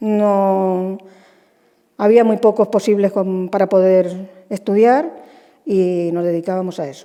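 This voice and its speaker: In a dark, mellow tone, a woman talks at a very slow pace. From Spain, Almansa (Albacete, La Mancha). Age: 70s. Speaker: retired shoe stitcher. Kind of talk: interview.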